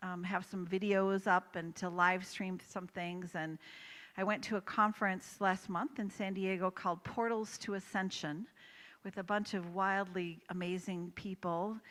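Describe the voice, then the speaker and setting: A woman talks at a fairly slow pace in a normal speaking voice, recorded very cleanly against a silent background. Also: medium pitch for a woman, fairly even intonation. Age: 60s. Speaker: holistic coach and author. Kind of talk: motivational talk.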